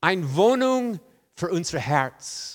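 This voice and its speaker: A man talks at a very slow pace with very wide pitch swings. The recording is very clean, with a silent background. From rural farm upbringing. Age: 60s. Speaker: guest preacher. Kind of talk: sermon. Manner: halting, many fillers.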